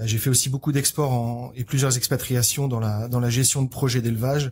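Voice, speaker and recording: In a very clean recording with a silent background, a man speaks at a medium pitch in a dark, mellow, somewhat breathy tone with monotone, flat intonation. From France. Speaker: agricultural equipment company manager. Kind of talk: podcast interview. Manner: halting.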